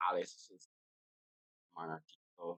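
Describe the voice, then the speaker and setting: A man speaks with a Barbadian accent. The sound is dry and close, without any echo. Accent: Barbadian (Bajan) English. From Barbados. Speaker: podcast host. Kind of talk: casual chat.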